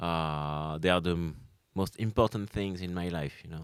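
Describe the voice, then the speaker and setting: The recording is very clean, with a silent background. The speaker has a French accent. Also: man. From France, Caen. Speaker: comedian, former undertaker. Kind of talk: interview answer.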